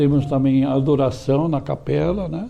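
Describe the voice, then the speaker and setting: A man speaking at a moderate pace over background music. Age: 80s+. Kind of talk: interview. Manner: halting.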